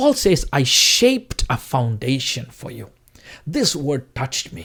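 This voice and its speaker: A man with a Tamil accent talks at a moderate pace. His voice is somewhat breathy, with very wide pitch swings. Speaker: preacher. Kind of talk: sermon.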